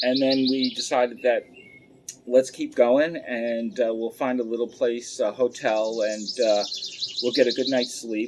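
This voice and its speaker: The delivery is monotone, with flat intonation and a fairly slow pace. Noticeable background noise runs underneath. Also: man, medium pitch for a man. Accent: New York. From Long Island, New York. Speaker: pipe smoking channel host. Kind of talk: storytelling. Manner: casual, many filler words.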